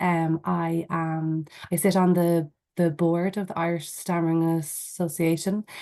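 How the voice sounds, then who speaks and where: A woman speaks at a fairly slow pace with a fairly low pitch and monotone, flat intonation. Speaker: board member of stammering association. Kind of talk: webinar introduction. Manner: stammers.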